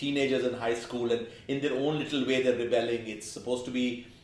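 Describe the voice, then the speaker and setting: Noticeable background noise and audible room echo around a man's fairly even, medium-pitched delivery. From India. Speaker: film critic. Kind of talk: casual chat.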